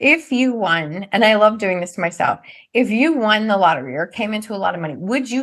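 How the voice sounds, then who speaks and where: A woman with a normal speaking voice at a medium pitch, lively intonation and a fairly quick pace, over a quiet background. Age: 50s. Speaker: NLP trainer and author. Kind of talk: casual chat.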